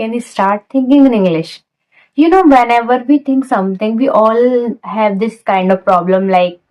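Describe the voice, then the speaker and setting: A woman speaks with an Indian accent at a fairly slow pace. Her fairly high voice has lively intonation. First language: Hindi. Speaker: English learning vlogger. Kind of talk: casual talk to camera. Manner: non-native halting phrasing.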